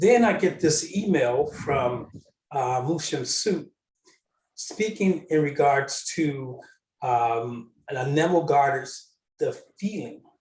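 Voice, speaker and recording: A man's fairly high, somewhat breathy voice, very slow in pace, with lively intonation. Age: 60s. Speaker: panel guest on spiritual discussion. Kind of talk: spiritual panel discussion. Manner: halting, many fillers.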